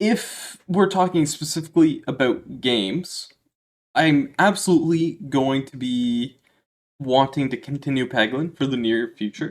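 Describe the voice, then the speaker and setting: With a Maritime Canadian accent, a man speaks at a fairly slow pace and a fairly high pitch, using ordinary pitch variation. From Maritime provinces, East Coast Canada. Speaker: gaming YouTuber. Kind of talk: casual Q&A monologue. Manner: casual, with frequent fillers.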